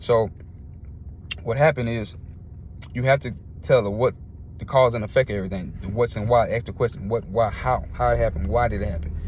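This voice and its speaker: At a fairly quick pace, a man with a medium pitch speaks in an animated tone, broken by long, frequent pauses. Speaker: sports commentator YouTuber. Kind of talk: casual rant vlog. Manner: fast.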